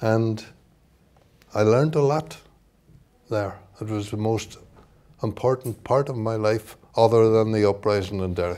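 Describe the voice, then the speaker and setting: A man talks with a Northern Irish accent and a dark, mellow tone. He leaves long, frequent pauses. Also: medium pitch for a man, ordinary pitch variation, moderate pace. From Northern Ireland. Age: 70s. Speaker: author and socialist activist. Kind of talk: book launch talk. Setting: event with audience.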